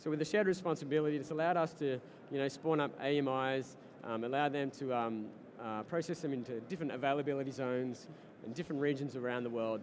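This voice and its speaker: A man with an Australian accent talks at a very fast pace and fairly high pitch. His pitch varies in an ordinary way, with light background noise. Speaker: startup co-founder and tech executive. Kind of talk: interview at a tech conference. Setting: live broadcast at a conference floor. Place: hall. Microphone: headset.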